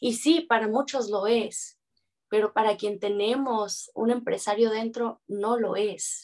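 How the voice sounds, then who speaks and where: A woman with a fairly high pitch speaks very slowly, her intonation fairly even. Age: 30s. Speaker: dance teacher. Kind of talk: interview.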